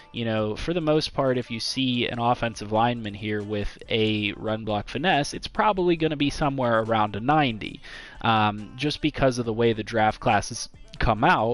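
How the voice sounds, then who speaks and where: With music in the background, a man talks with ordinary pitch variation. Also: medium pitch for a man, moderate pace. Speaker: gaming YouTuber. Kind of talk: tutorial. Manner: halting, stumbles over words; casual, conversational.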